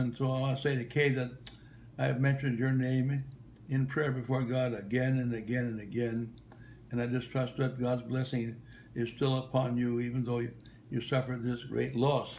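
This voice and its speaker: The voice is somewhat breathy, with a monotone, flat intonation. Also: man. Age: 90s. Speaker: retired travelling minister. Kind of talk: recorded video greeting. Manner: halting, many fillers and repetitions.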